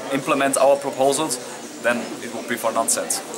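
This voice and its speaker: A man speaks at a moderate pace in a medium pitch, his intonation fairly even, with audible room echo and noticeable background noise. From Austria. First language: German. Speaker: youth party leader. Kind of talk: interview. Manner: halting, with fillers.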